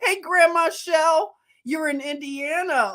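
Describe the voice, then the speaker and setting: In a Philadelphia accent, a woman talks in a high pitch with an animated tone. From Philadelphia, US. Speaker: livestream host. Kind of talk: casual livestream chat. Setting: live stream. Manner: chatty, animated.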